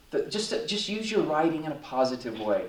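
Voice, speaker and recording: Over noticeable background noise and audible room echo, a man talks at a fairly quick pace in a fairly high pitch. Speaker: pastor and speaker on encephalitis recovery. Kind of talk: conference talk. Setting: conference stage with audience.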